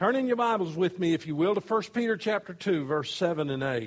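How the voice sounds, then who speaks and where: In an unremarkable speaking voice, a man with an American accent talks at a moderate pace with lively intonation. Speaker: pastor. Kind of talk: sermon. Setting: church.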